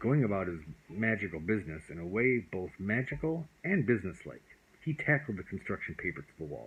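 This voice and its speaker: Speaking at a fairly quick pace, a man uses a fairly low pitch with very wide pitch swings. His voice is somewhat breathy. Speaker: father reading to his child. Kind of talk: bedtime story reading. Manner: loving, comforting.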